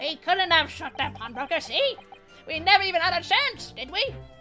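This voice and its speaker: A man in a put-on character voice at a moderate pace, with clear music in the background. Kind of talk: comic overacting. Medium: game stream. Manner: cheeky, evasive, slangy.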